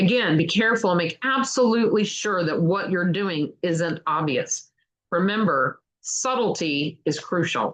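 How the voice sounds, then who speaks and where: Her loudness very even, a woman speaks at a fairly slow pace with medium pitch and lively intonation. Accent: slight Kentucky. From Kentucky, US South. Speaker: book reader, channel host. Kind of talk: reading aloud.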